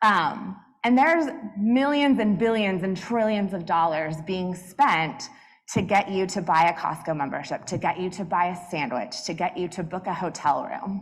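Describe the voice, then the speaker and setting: With an American accent, a woman speaks at a moderate pace and medium pitch, her intonation lively, and room echo is audible. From US South, Atlanta. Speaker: business executive, conference speaker. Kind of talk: keynote talk. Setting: stage with audience. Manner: loud.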